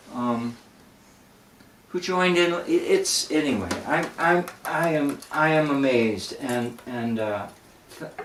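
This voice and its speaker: Speech with lively intonation moves at a very slow pace, broken by long, frequent pauses, over noticeable background noise. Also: man, fairly high pitch for a man. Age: 60s. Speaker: folk singer and show host. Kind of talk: casual chat. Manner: halting.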